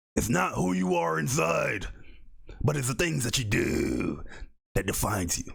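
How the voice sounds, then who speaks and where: A put-on character voice, growling, gravelly and raspy, with a dramatic tone. It moves at a moderate pace with long, frequent pauses. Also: man, fairly low pitch for a man. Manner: growling, dramatic.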